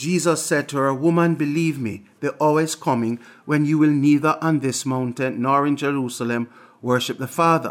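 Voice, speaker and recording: Using an unremarkable speaking voice, a man talks at a moderate pace with fairly high pitch and fairly even intonation. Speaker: preacher. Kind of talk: scripture reading. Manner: measured, reverent.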